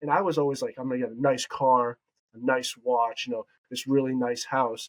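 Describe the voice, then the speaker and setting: A plain, everyday voice from a man, medium in pitch, at a fairly quick pace with fairly even intonation and a dry, close sound without echo. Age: 20s. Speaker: real estate agent. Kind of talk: interview.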